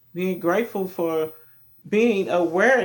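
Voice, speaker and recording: A man's voice with a Kentucky accent and ordinary pitch variation. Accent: deep Kentucky. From Kentucky, Louisville. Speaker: self-help vlogger. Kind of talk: motivational talk. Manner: casual, conversational.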